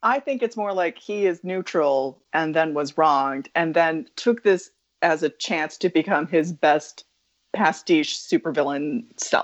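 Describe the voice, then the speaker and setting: A woman with a normal speaking voice and an American accent talks fairly slowly at a fairly low pitch, with lively intonation. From US Midwest (Wisconsin). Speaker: podcast guest. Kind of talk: reading a prepared recap; casual chat.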